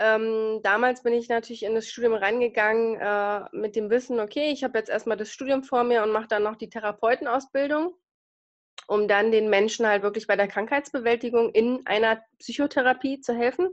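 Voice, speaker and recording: A woman's fairly high voice carries ordinary pitch variation and moves at a moderate pace. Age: 30s. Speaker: nurse with multiple sclerosis. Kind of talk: interview. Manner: hesitant, many fillers.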